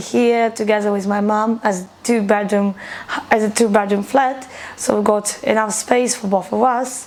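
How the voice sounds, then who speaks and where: A woman speaks at a fairly slow pace in a Ukrainian accent, her intonation flat and monotone, with noticeable background noise behind her. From Ukraine. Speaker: refugee. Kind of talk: documentary interview.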